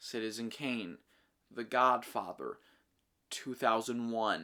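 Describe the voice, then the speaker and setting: Very slow male speech at a medium pitch, bright and sharp in tone, with fairly even intonation, on a very clean recording with a silent background. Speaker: film reviewer. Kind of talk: casual monologue review. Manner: rambling, unscripted with many fillers.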